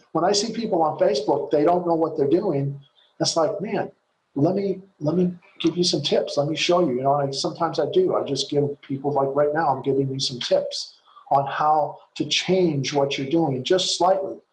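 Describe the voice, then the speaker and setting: With a fairly high pitch, a man talks in an unremarkable speaking voice. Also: ordinary pitch variation, moderate pace. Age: 60s. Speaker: network marketing coach. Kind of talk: webinar training talk. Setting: video call.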